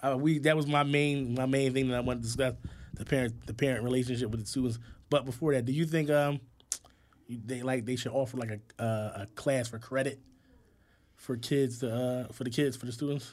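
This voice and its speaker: At a fairly quick pace, a man with a normal speaking voice talks at medium pitch with fairly even intonation. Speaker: podcast co-host, hospital worker. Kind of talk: casual chat.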